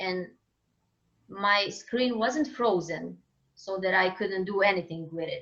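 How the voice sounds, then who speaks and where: Speaking with a Croatian accent, a woman moves at a very slow pace with long, frequent pauses. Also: medium pitch for a woman, ordinary pitch variation. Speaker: singer-songwriter. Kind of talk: interview conversation. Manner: halting, searching for words.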